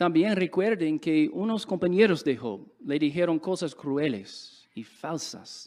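Here a man with an English accent and a high pitch talks at a very slow pace with very wide pitch swings on a very clean recording with a silent background. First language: English (speaking Spanish). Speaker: religious speaker. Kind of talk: sermon.

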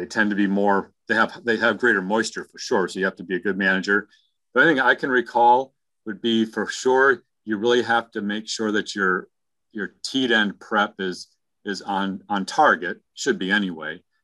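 A man with an American accent speaks at a fairly low pitch in a bright, sharp tone. The sound is dry and close with no echo, against a quiet background. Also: ordinary pitch variation, moderate pace. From New York. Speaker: webinar guest speaker, dairy researcher. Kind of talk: informal technical explanation.

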